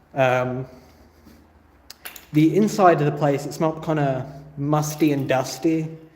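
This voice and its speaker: The voice moves at a fairly slow pace with fairly even intonation. Noticeable background noise and audible room echo are present. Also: man. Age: 30s. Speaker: urban explorer vlogger. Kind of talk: live stream vlog. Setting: abandoned motel. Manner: casual.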